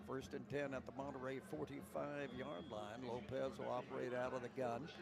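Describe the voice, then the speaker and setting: Amid noticeable background noise and audible room echo, a man with a West Texas accent talks at medium pitch and very even loudness. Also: ordinary pitch variation, fairly quick pace. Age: 70s. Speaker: play-by-play announcer. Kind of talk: live commentary.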